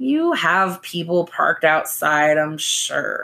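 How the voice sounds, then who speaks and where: A woman drawls in a raspy voice with a fairly low pitch. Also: fairly slow pace. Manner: slow drawl.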